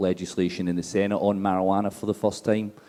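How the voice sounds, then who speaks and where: Speaking at a fairly quick pace with a Scottish accent, a man uses a dark, mellow tone and fairly even intonation. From Scotland. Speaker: drug policy advocate. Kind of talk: panel talk. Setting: conference stage with audience.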